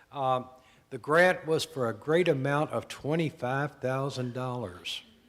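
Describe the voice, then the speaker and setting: The man speaks at a fairly slow pace. His pitch varies in an ordinary way. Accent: strong Southern US. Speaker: former program director. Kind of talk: anniversary speech.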